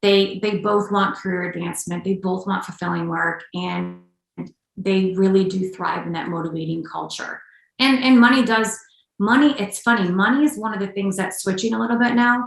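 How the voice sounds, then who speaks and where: A woman talks at a moderate pace with an American accent and a plain, everyday voice. Her medium pitch shows ordinary variation. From Upstate New York. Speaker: executive coach and combat veteran. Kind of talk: podcast interview.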